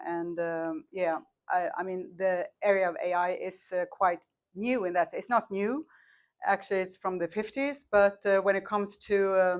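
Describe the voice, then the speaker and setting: Medium-pitched woman in a Swedish accent, against a quiet background. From Sweden. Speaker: marketing agency owner, panelist. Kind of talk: panel discussion.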